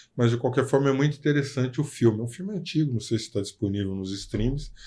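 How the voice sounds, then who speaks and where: Over a very clean recording with a silent background, a man talks very fast in a somewhat breathy, dark, mellow tone with lively intonation. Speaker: podcast host, lawyer. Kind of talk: casual interview chat.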